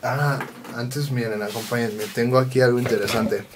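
Over light background noise, a speaker with a Mexican accent talks very fast with fairly even intonation. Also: man. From Mexico. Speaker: vlogger and event videographer; vlogger. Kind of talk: casual vlog chat. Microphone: camera far.

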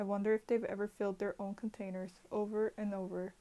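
A woman talks at a fairly quick pace in a dark, mellow tone with monotone, flat intonation. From Puerto Rico. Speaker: poet contributing to anthology. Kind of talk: poetry reading, performed poem. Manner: expressive, rhythmic, measured poetic delivery with pauses. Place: home room. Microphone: earbuds.

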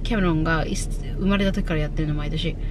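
This woman's voice has ordinary pitch variation and a dry sound with no echo. Background noise is noticeable. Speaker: vlogger. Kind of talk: casual vlog chat. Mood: matter-of-fact, planning the day. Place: car. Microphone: phone near.

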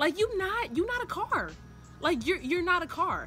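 A woman talks in a raised, projected voice at a fairly quick pace. Faint music plays in the background. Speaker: vlogger. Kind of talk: casual vlog chat. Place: garden. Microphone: phone near.

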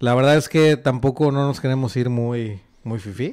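There is a man speaking with ordinary pitch variation over a quiet background. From Monterrey, Mexico. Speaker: podcast host. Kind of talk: casual chat. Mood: relaxed, joking. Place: home room. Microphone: studio mic.

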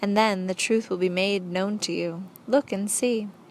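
A woman's plain, everyday voice at medium pitch, with fairly even intonation and a moderate pace. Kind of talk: audiobook narration, reading a book aloud. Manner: measured, even, formal storytelling pace; earnest, didactic, lecture-like.

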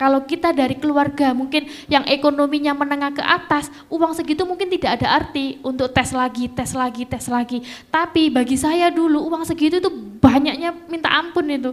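In a Javanese accent, a woman speaks at a moderate pace. Her high voice keeps fairly even intonation. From East Java (Lamongan); East Java, Indonesia. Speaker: nurse and alumna sharing experience; panelist. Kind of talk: talk to students. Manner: halting. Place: stage. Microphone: handheld.

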